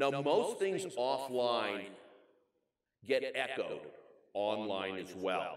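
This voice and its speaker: Audible room echo around a man's voice of medium pitch. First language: not English. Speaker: keynote speaker on information security. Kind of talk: conference keynote. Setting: stage with audience. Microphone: echo in recording.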